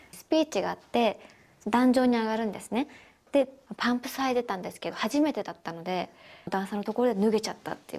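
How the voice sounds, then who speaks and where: Speaking at a very fast pace, a woman uses a fairly high pitch with ordinary pitch variation. Her loudness swings widely. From Ishikawa, Japan. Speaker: actress. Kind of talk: TV interview answer. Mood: shy, cheerful, often laughing. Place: empty room. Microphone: handheld.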